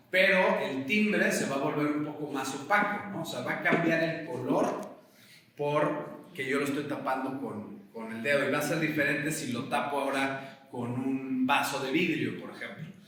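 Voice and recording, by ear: A man's medium-pitched voice at a moderate pace, bright and sharp in tone, with ordinary pitch variation and strong room echo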